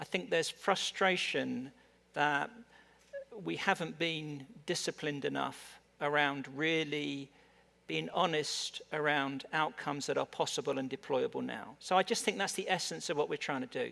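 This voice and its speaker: A man talks at a moderate pace. He has an English accent. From England. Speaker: tech industry executive. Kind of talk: panel discussion. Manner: halting, many repetitions.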